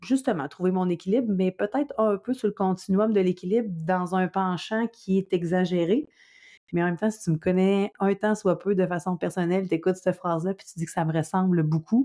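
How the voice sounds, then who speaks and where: The voice has a dark, mellow tone, ordinary pitch variation, and a fairly quick pace. The recording is very clean with a silent background, dry and close with no echo. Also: woman, medium pitch for a woman. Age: 30s. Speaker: podcast host. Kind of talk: casual monologue. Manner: energetic.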